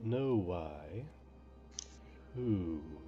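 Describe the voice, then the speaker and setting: A man whispers in a gravelly, put-on character voice. Clear background noise runs underneath. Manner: harsh whisper.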